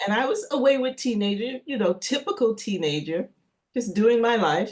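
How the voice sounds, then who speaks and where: Lively intonation marks this woman's normal speaking voice. She has a fairly high pitch and a moderate pace. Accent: American. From New York City, US. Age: 60s. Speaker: chef and energy healer. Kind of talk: casual interview.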